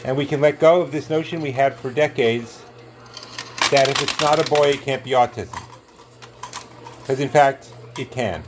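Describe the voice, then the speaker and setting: Over noticeable background noise, a man with a New York accent speaks at a moderate pace in a fairly high voice. His intonation is fairly even, and he takes long, frequent pauses. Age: 60s. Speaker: coin pusher video host. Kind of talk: casual commentary while playing an arcade game. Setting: arcade at a marina. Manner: halting, many fillers.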